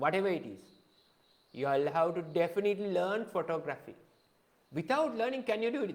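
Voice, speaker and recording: A man speaks fairly quickly with a Sri Lankan accent. His pitch is high and his intonation lively. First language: Sinhala. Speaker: photography teacher. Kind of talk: live-streamed lecture. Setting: live Facebook video.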